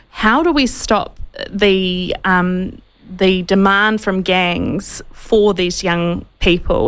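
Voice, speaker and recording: Fairly even intonation carries a woman's speech in a New Zealand accent. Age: 30s. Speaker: talk radio host. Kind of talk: interview. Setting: studio. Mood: concerned, serious. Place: studio. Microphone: studio mic.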